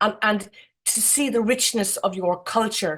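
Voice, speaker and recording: A woman with an Irish accent at a moderate pace, fairly even in intonation, on a very clean recording with a silent background. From Ireland. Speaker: architect, jury member. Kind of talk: awards ceremony speech. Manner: halting.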